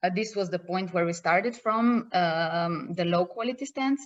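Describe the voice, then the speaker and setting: This woman speaks with a Slovenian accent. Her pace is moderate and her pitch varies in an ordinary way. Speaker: project partner presenter. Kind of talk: conference presentation. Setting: video call. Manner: halting.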